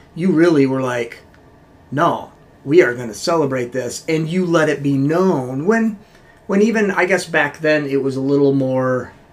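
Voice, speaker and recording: At a moderate pace, a man talks in an unremarkable speaking voice pitched fairly high. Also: ordinary pitch variation. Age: 50s. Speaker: podcast co-host. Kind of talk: casual chat.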